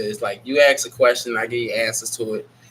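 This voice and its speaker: Fairly quick speech from a man, with noticeable background noise around him. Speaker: online show host answering viewer questions. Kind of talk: casual live Q&A chat.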